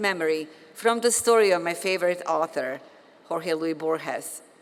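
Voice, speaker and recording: A woman speaks at a moderate pace. She talks with a Bosnian accent. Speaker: physician and professor, commencement speaker. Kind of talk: commencement speech. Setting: stage with audience.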